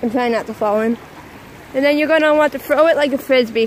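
The sound is dry, with no echo. Light background noise is present. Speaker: vlogger filming outdoors. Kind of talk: casual vlog chat. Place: waterside. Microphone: phone near.

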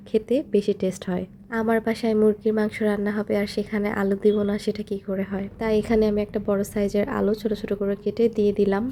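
This woman's voice has a dark, mellow tone and a monotone, flat intonation. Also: medium pitch for a woman. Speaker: vlogger. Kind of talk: vlog narration. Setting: home kitchen.

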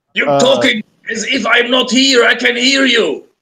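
A man's growling, put-on character voice, raised and projected, at an extremely high pitch and a moderate pace. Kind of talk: game master voicing NPC. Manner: blustering, threatening.

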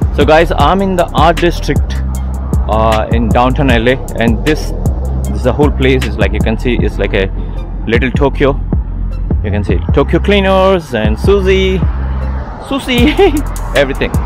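Clear music plays in the background as a man speaks at a moderate pace. The sound is dry with no echo, and he takes long, frequent pauses. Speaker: travel vlogger. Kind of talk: casual vlog chat. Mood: curious, slightly nervous. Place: street. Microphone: phone near.

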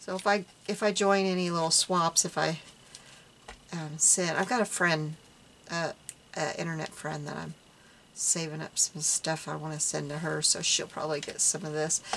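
A woman's fairly low-pitched voice at a fairly slow pace with long, frequent pauses, over light background noise. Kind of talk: casual vlog chat. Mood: amused, self-deprecating. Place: home room.

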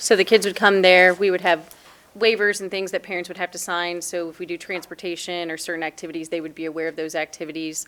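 A woman speaks very fast in a fairly low voice with monotone, flat intonation. Her loudness swings widely. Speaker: youth program presenter. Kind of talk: presentation at council meeting.

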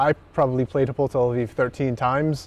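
With light background noise and a dry sound with no echo, the speaker talks in an American accent with fairly even intonation. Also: man. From Boston area, US. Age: 30s. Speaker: professional basketball player. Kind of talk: casual interview on live stream. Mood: relaxed, friendly. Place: stadium.

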